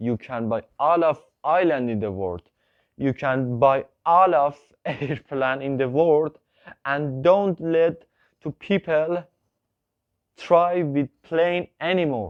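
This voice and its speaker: Speaking with a non-native accent, a man goes at a very slow pace with long, frequent pauses. His voice is fairly high in pitch, with lively intonation. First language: not English. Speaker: YouTuber. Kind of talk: video monologue. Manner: halting.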